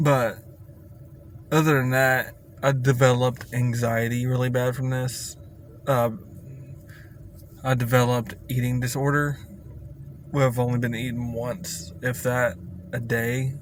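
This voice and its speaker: A man speaks at a fairly slow pace with long, frequent pauses and fairly even intonation, in audible room echo with noticeable background noise. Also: medium pitch for a man. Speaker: vlogger sharing health experience. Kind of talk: casual vlog rant. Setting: in a car. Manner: halting, with pauses.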